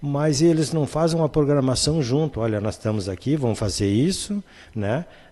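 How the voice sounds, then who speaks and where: The man's tone is dark and mellow, with lively intonation. He talks at a moderate pace. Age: 60s. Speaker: spiritist medium and speaker. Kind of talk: casual chat.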